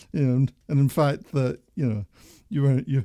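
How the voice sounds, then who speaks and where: In a dark, mellow tone, a man with a fairly high pitch speaks at a moderate pace, with a dry, close sound and no echo. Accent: Scottish. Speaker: podcast host. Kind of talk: casual chat. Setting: live stream.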